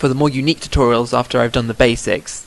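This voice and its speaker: A man's vocal fry comes through as he rattles along at a very fast pace. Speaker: Minecraft modding tutorial maker. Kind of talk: screen-recorded programming tutorial. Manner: mumbling, stuttering at times.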